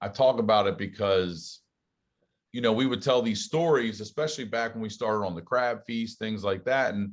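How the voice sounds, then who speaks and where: A man speaks with a slight Southern US accent. His pitch is fairly low, and the background is quiet. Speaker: stand-up comedian and podcast host. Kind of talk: casual interview chat.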